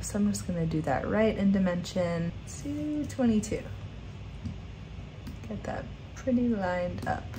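A woman's relaxed tone at a moderate pace, with long, frequent pauses and noticeable background noise. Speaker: graphic design instructor. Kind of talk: software tutorial narration. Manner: casual, relaxed. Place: home room.

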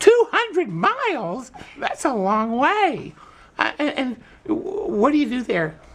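A man puts on a cartoonish character voice at an extremely high pitch, swinging very widely in pitch. He talks at a very slow pace. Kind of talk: children's TV puppet show. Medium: puppet show. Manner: enthusiastic, mock-amazed, gentle.

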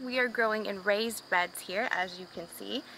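A woman speaks at a moderate pace with ordinary pitch variation, the sound dry with no echo and light background noise behind her. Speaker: homestead gardening vlogger. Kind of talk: casual vlog chat. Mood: cheerful, upbeat. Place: garden. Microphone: phone near.

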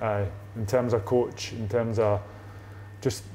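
Monotone and flat, a man talks at a moderate pace with an Ayrshire accent. Light background noise sits behind him. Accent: Ayrshire Scottish. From Scotland, Ayrshire; Scotland. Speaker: footballer; guest. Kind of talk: casual chat. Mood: relaxed, casual. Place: home room.

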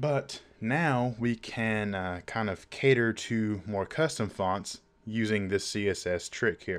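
Male speech, very cleanly recorded, with a silent background. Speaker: web design tutorial youtuber. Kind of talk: tutorial. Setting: screen recording. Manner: casual, filler-heavy.

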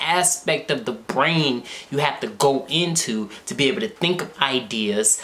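Very wide swings in pitch from a male speaker. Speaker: content creator. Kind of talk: casual vlog chat. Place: home room.

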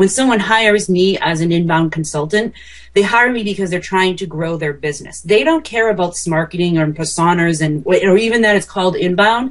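A woman's plain, everyday voice at medium pitch, fairly quick with hardly any pauses and ordinary pitch variation. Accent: American. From small-town US. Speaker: marketing consultant. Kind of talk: interview podcast.

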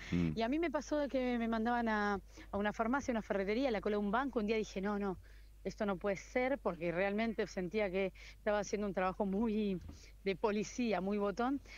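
A woman speaks in a plain, everyday voice at a fairly quick pace, with very even loudness, ordinary pitch variation and a medium pitch. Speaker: TV news reporter. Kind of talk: interview.

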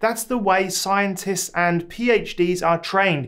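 The man's voice sits high in pitch and shows ordinary pitch variation. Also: quiet background. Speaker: academic advice creator. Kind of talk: advice vlog talk. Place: home room.

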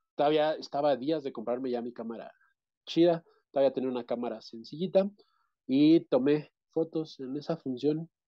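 Against a quiet background, a man speaks at a fairly quick pace and a fairly high pitch. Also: ordinary pitch variation. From central Mexico, State of Mexico. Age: 30s. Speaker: interviewee. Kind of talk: interview. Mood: relaxed, reminiscing. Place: home room. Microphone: video call.

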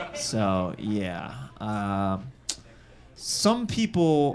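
A man with an American accent over light background noise. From US Midwest. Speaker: comedian and show host. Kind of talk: improvised stand-up. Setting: stage with audience. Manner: animated. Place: stage. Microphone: handheld.

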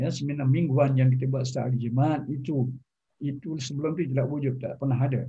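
Somewhat breathy, a man talks at a fairly quick pace with monotone, flat intonation. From Selangor, Malaysia. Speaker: retired professor. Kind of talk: formal interview. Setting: video call. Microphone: video call.

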